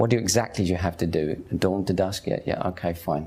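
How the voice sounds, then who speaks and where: This man has a very deep, low pitch. He talks at a fairly quick pace. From London, East End (Hackney). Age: 50s. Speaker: convert telling his story. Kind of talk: personal testimony. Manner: casual, conversational.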